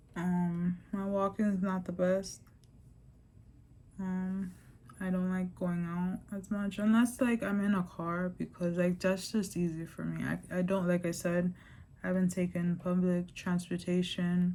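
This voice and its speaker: A woman's somewhat breathy, dark, mellow voice with an American accent, medium in pitch, fairly slow and monotone with flat intonation. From New York. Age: 30s. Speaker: vlogger. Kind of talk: personal vlog testimony. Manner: casual, filler-heavy (lots of 'like', 'um').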